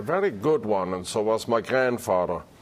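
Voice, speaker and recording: A man's fairly low-pitched voice with a German accent. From southwestern Germany. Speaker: retired chef. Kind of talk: interview.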